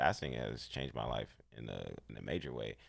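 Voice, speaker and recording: A man speaks with vocal fry. His pace is fairly slow. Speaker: guest. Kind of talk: casual chat.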